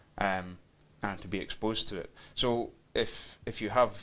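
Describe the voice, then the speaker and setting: Spoken in a Hebridean accent, the delivery is monotone, with flat intonation. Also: man. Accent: Hebridean Scottish. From Scotland, Isle of Lewis (Outer Hebrides). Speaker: folk musician. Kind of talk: interview. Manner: halting, many fillers.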